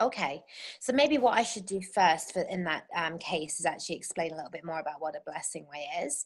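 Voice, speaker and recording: With an English accent, a woman speaks at a fairly quick pace and fairly low pitch, her intonation lively and her loudness swinging widely. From England. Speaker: birth doula and circle facilitator. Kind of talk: interview conversation.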